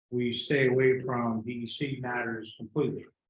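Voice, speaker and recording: Somewhat breathy, the voice moves at a fairly slow pace with monotone, flat intonation. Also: man. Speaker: presenter at a village board meeting. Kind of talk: public meeting presentation. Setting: village board meeting room.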